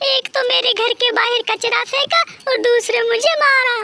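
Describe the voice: In a cartoonish character voice, the speaker uses a bright, sharp tone with vocal fry and fairly even intonation, the sound dry and close with no echo. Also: moderate pace.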